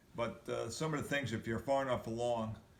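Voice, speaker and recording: A man with a medium pitch speaks in fairly even intonation, with audible room echo. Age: 70s. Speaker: video blogger sharing injury recovery. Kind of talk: personal recovery update and exercise tips. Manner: halting, with many fillers.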